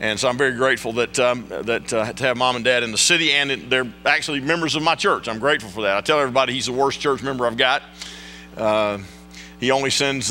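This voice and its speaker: Music runs in the background of this clip. Over it, a man talks at a fairly quick pace with ordinary pitch variation. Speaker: guest preacher. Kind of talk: sermon. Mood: warm, humorous. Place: church. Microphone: podium.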